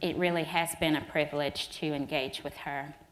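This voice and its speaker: A woman with a Southern US accent, fairly low pitch and fairly even intonation. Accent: Southern US, slow. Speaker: energy regulator. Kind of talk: keynote remarks.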